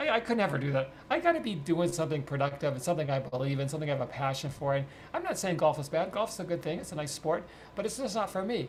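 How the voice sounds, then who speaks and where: Against noticeable background noise, the speaker talks at a very fast pace in an animated tone with lively intonation. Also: man. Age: 70s. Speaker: financial advisor, author. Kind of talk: podcast interview.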